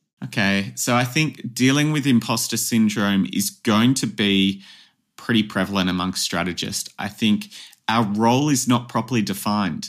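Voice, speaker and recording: With an Australian accent, a man speaks at a moderate pace and a medium pitch, with ordinary pitch variation. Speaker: advertising strategist and academy founder. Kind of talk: interview. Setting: podcast.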